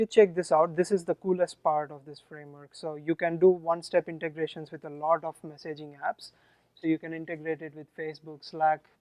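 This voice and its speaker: The delivery has a strong Indian accent and monotone, flat intonation, with big swings in loudness and a dry, close sound with no echo. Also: man. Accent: Indian, thick. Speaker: software engineer presenting at a meetup. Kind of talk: tech talk with live demo. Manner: hesitant, many fillers.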